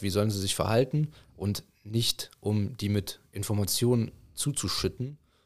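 Recorded very cleanly over a silent background, a man with a plain, everyday voice speaks at a fairly low pitch with ordinary pitch variation. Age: 20s. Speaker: youth football coach. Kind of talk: casual chat.

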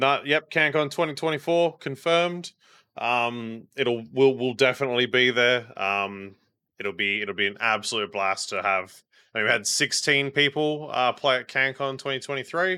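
At a moderate pace and medium pitch, a man with an Australian accent speaks in a bright, sharp tone with ordinary pitch variation, on a very clean recording with a silent background. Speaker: podcast host. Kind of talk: casual chat.

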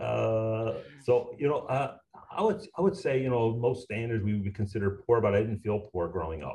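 A man with a Newfoundland accent at a moderate pace. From Newfoundland, Canada. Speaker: recycling business owner. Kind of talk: interview conversation. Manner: drops H's.

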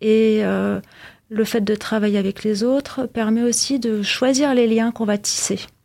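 In a very clean recording with a silent background, a woman's fairly high voice has a dark, mellow tone and fairly even intonation. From Austria (Vienna). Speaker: fashion designer and artisan. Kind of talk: interview. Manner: hesitant.

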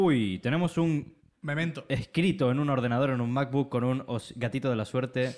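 A man's plain, everyday voice at a medium pitch and moderate pace, with ordinary pitch variation, on a very clean recording with a silent background. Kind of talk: casual chat, livestream. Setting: live stream with chat.

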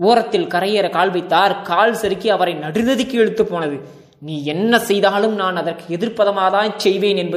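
A natural read-aloud voice with ordinary shifts in pitch

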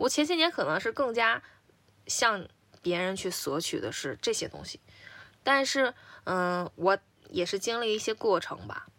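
Pausing long and often, a woman speaks at a moderate pace with a fairly high pitch and very wide pitch swings on a very clean recording with a silent background. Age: 30s. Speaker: podcast co-host. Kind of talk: casual chat.

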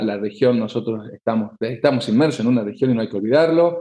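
A man talks at a moderate pace in a normal speaking voice, medium in pitch with ordinary pitch variation. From Argentina, Tucumán (north). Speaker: political analyst. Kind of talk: interview.

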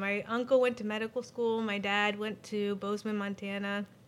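A woman with an unremarkable speaking voice and an American accent talks at a fairly quick pace in a fairly high pitch. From Pennsylvania, US. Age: 40s. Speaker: nurse or healthcare worker.

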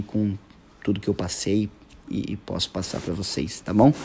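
At a moderate pace, a man speaks in a fairly low voice with a dark, mellow tone. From São Paulo, Brazil. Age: 30s. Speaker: guitarist. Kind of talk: casual monologue. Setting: hotel room. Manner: halting.

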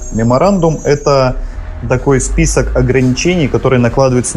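Music plays in the background while the voice moves at a fairly quick pace. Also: man. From Vladivostok, Russian Far East. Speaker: cinema co-owner. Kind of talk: radio talk show interview.

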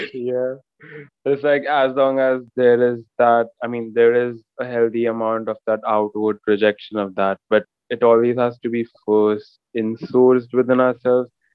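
With an Indian accent, a man of medium pitch speaks at a moderate pace in a monotone, flat intonation. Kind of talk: casual chat.

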